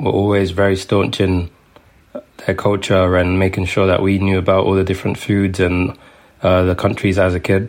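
With a London accent, a man speaks at a moderate pace in a very deep, low pitch and a flat, monotone delivery. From London, England. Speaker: food writer. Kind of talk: interview.

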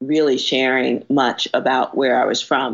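In a New York accent, a woman talks slowly-ish with a very deep, low pitch, vocal fry, and a monotone, flat delivery. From New York, South Bronx. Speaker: real estate developer and urban revitalization strategist. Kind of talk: interview conversation.

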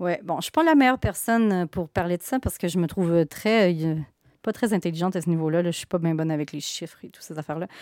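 In a Quebec accent, a woman speaks very fast at a fairly low pitch with ordinary pitch variation and big swings in loudness, in a very clean, dry, close recording with a silent background and no echo. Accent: Québécois French. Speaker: comic book author. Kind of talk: interview.

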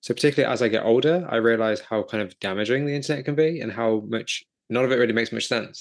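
Over a quiet background, a man with a medium pitch speaks at a very fast pace with hardly any pauses and ordinary pitch variation. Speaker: podcast host. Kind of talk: interview.

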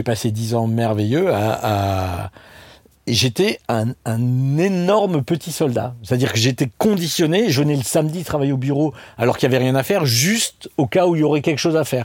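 In a normal speaking voice, a man talks at a moderate pace and medium pitch. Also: lively intonation, very clean recording, silent background. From Alsace, France (Strasbourg). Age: 50s. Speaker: restaurant chain co-founder. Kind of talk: casual interview chat.

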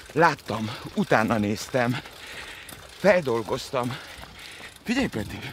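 A man at medium pitch talks at a very slow pace with very wide pitch swings and long, frequent pauses, over noticeable background noise. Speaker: podcast host. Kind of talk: casual interview while running. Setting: outdoors, running.

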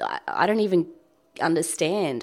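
This woman talks with an Australian accent. The recording is very clean, with a silent background. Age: 20s. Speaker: blogger and mother. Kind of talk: casual chat. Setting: home kitchen.

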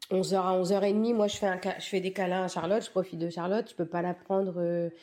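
At a moderate pace, a woman speaks in a dark, mellow tone at a medium pitch with fairly even intonation. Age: 40s. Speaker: mother of a child with Down syndrome. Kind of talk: testimony.

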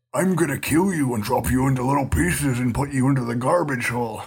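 A man puts on a character voice at a medium pitch. He talks at a very fast pace. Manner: menacing, mocking.

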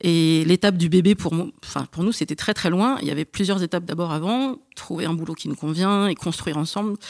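In a plain, everyday voice, a woman with a fairly low pitch speaks fairly quickly with hardly any pauses and ordinary pitch variation, the sound dry and close with no echo. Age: 30s. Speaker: podcast guest. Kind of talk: casual chat.

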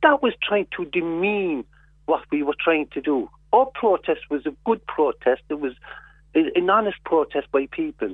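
A man with a Cork accent speaks at a high pitch with very wide pitch swings. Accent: Cork Irish. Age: 60s. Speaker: activist. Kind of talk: radio interview.

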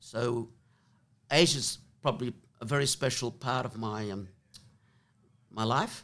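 A man with an Australian accent, medium in pitch, at a fairly slow pace. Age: 70s. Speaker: former jockey and racehorse trainer. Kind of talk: interview conversation. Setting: in person in the room. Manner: hesitant, many filler words.

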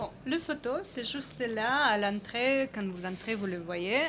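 A woman's medium-pitched voice, showing ordinary pitch variation, moves along at a very slow pace. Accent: slight non-native. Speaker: photojournalist. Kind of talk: panel discussion.

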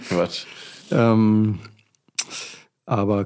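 A man's dark, mellow, fairly low voice in a monotone, flat intonation, on a very clean recording with a silent background. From Germany, rural farm. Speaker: entrepreneur and startup founder. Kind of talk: casual interview.

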